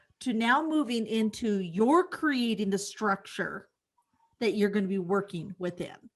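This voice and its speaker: A woman's fairly high voice in a Midwestern US accent, with lively intonation at a fairly slow pace. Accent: US Midwest. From Kansas. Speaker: podcast host, real estate agent. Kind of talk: podcast interview.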